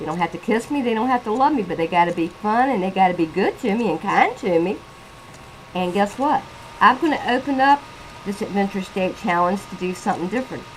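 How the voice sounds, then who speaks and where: A woman talks at a medium pitch. Noticeable noise runs in the background. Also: lively intonation, fairly quick pace. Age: 60s. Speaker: vlogger reviewing a reality TV show. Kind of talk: casual video commentary. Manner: animated.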